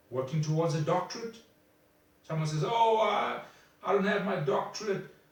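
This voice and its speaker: There is audible room echo and noticeable background noise as a man speaks with lively intonation. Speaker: motivational speaker. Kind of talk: motivational talk. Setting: self-recorded video. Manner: halting.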